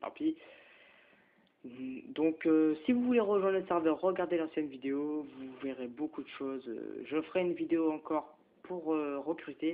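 Pausing long and often, a man with a fairly high voice speaks at a fairly slow pace with ordinary pitch variation. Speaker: gaming youtuber. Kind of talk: gameplay commentary. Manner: halting; animated.

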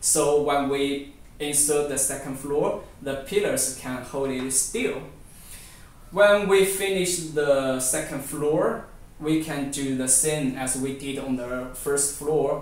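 A man talks at a very slow pace, and the room echo is audible. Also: ordinary pitch variation. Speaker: presenter. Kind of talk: product demonstration tutorial. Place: home room. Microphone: camera far.

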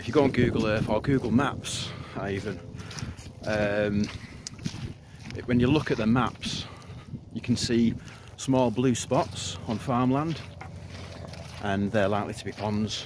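A man talks at a fairly slow pace with long, frequent pauses and ordinary pitch variation. The sound is dry with no echo, though background noise is noticeable. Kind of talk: casual vlog tutorial. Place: open country. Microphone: phone near.

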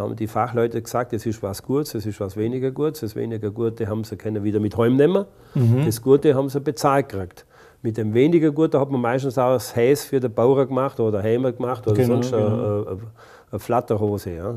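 Against a quiet background, the voice goes at a very fast pace in a dark, mellow tone with ordinary pitch variation. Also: man. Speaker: local heritage society chairman. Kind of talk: interview answer. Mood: calm reminiscing. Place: studio. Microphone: lapel.

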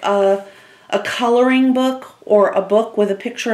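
A woman speaks at a fairly slow pace. Her pitch variation is ordinary. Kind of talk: tutorial. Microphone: camera far.

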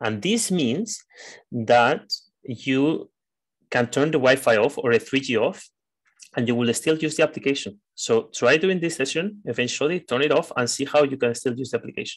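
Speaking at a moderate pace, a man has an unremarkable speaking voice at a fairly high pitch with ordinary pitch variation. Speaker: trainer. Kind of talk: training lecture. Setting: online video session.

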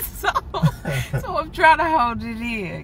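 A woman is speaking with a dry sound and no echo. Background noise is noticeable. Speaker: business owner vlogger. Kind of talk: casual vlog chat. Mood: proud, emotional, joking. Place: car. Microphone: phone near.

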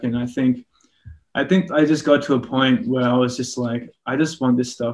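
A man speaks with an Australian accent. His intonation stays fairly even. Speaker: musician. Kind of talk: interview answer. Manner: casual, rambling. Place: home room. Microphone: video call.

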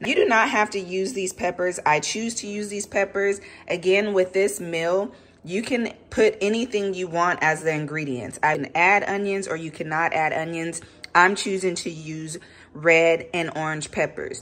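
A woman's voice at a moderate pace, with ordinary pitch variation. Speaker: home cook vlogger. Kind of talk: cooking tutorial. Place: kitchen. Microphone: phone near.

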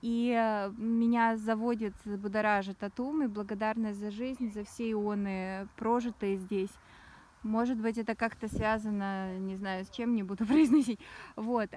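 A woman speaks at a fairly slow pace with a fairly high pitch and a dark, mellow tone. The sound is dry, with no echo. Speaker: spiritual blogger. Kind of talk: casual monologue vlog. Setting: outdoors. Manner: animated, rambling. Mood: reflective, spiritual. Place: open country. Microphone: phone near.

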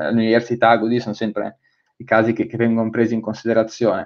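The background stays quiet. A man's speech moves at a fairly quick pace. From Milan, northern Italy. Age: 20s. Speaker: fintech and innovation consultant; guest. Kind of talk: webinar presentation. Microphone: webcam.

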